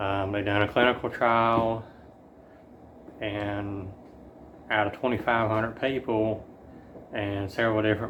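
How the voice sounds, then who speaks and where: In a Southern US accent, a man speaks at a fairly slow pace. His pitch is fairly low and his intonation monotone and flat. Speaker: chronic illness vlogger. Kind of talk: personal update vlog. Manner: halting, many fillers.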